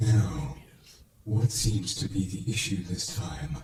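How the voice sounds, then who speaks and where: A man's growling, put-on character voice at a fairly slow pace, with clear echo. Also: fairly low pitch for a man. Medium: read story. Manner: theatrical, playful, unbothered.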